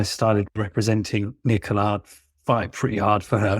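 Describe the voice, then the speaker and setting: With a British accent, a man speaks at a medium pitch in a very clean recording with a silent background. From England, London. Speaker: barrister. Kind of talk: interview. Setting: podcast.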